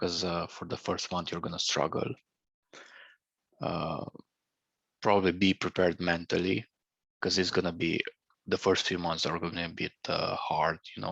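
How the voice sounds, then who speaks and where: With a Romanian accent, a man with a very deep, low pitch talks at a moderate pace with fairly even intonation and long, frequent pauses, the sound dry and close with no echo over a quiet background. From Romania, Banat region (Lugoj, Timișoara). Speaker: former student living abroad. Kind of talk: interview. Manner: halting.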